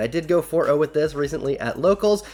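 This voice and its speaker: A man speaks over noticeable background noise. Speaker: card game YouTuber. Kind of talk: deck profile tutorial. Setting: home recording late at night. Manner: kept quieter than usual; animated.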